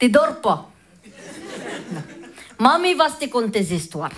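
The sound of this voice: Slow and fairly bright, a woman does a put-on character voice in a Yugoslav accent at a fairly high pitch with big pitch swings.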